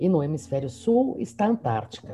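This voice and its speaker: Music in the background behind a woman whose pitch swings very widely. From São Paulo, Mooca district. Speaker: university professor. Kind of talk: casual interview.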